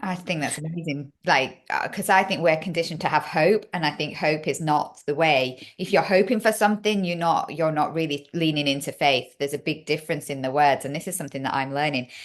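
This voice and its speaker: With a Yorkshire accent, a woman talks at a fairly quick pace with hardly any pauses, her very deep, low pitch showing ordinary variation. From Yorkshire, northern England. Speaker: podcast host. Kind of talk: casual interview chat.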